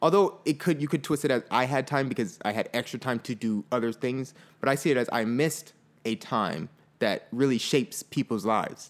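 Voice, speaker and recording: In an American accent, an unremarkable speaking voice carries ordinary pitch variation on a very clean recording with a silent background. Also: man, medium pitch for a man, fairly quick pace. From Fort Lauderdale, Florida. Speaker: podcast co-host. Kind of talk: casual chat.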